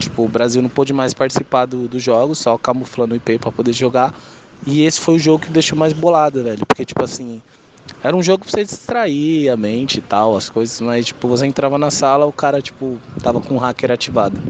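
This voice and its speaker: The voice shows ordinary pitch variation against noticeable background noise. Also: man, medium pitch for a man, fairly quick pace. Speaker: gamer. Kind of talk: recorded voice message.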